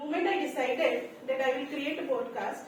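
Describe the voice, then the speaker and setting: A woman with an Indian accent speaks fairly slowly in a high pitch with lively intonation. Audible room echo is present. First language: Hindi. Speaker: club member giving a project speech. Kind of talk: prepared speech. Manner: halting, with fillers.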